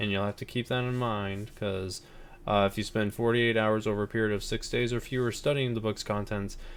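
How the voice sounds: This is a natural reading voice whose intonation stays fairly even.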